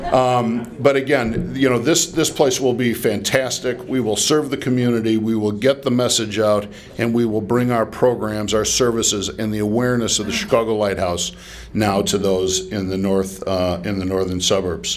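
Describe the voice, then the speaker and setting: At a moderate pace, a medium-pitched man talks with ordinary pitch variation amid noticeable background noise and audible room echo. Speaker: nonprofit executive. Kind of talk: dedication speech.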